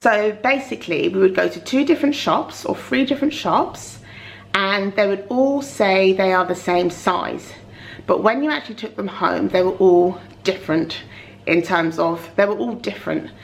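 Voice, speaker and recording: A woman talks at a moderate pace with a medium pitch and lively intonation. Noticeable background noise can be heard. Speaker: mummy vlogger. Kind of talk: casual talk to camera.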